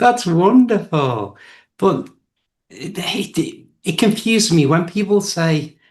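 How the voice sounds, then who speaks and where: Against a quiet background, the speech in an English accent goes at a very slow pace with long, frequent pauses. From England. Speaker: English teacher. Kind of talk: casual chat.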